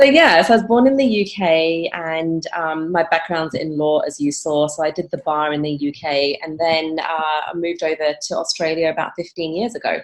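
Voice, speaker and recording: A woman talks with hardly any pauses in a fairly low pitch with ordinary pitch variation. Noticeable background noise is present. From England, London. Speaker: emotional intelligence coach and keynote speaker. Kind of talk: podcast interview.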